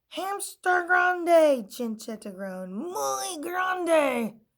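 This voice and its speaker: Putting on a character voice, a woman speaks at a very slow pace in a high, raised, projected voice with very wide pitch swings. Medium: read story. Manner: sassy, emphatic.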